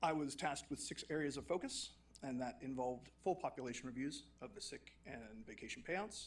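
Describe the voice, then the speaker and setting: With vocal fry running through it, a man's fairly high voice carries lively intonation. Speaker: HR and payroll consultant. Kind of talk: formal report presentation. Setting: council chambers.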